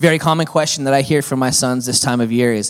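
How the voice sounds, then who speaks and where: A man speaks in a normal speaking voice. His pitch sits in the medium range. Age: 40s. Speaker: pastor. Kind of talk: sermon. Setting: church.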